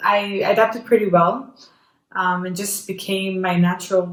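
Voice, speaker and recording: A woman's medium-pitched voice with a slight non-native accent, at a fairly slow pace. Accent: slight foreign. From Jordan. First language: Arabic. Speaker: YouTuber. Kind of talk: casual chat. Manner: halting, many repetitions.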